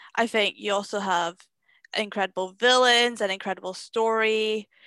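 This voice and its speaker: A woman with a Scottish accent speaks at a moderate pace in a fairly high pitch, her tone bright and sharp. The recording is very clean, with a silent background and a dry, close sound with no echo. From Scotland. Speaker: film critic and podcaster. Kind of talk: casual chat. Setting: at home.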